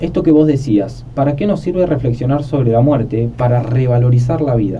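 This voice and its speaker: Audible room echo around a man's voice of medium pitch, moderately paced, its pitch varying in an ordinary way. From Argentina, Buenos Aires. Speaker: philosophy podcast host. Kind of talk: conversational podcast discussion.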